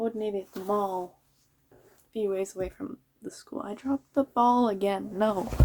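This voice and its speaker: A woman mumbles at a medium pitch and a moderate pace. Her pitch variation is ordinary. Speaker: vlogger. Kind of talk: casual monologue. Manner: mumbling.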